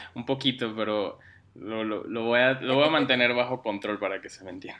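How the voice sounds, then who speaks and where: With a slight Mexican accent, a man speaks at a moderate pace and medium pitch, his intonation fairly even and his loudness swinging widely. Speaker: digital strategist. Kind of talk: interview. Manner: hesitant, many fillers.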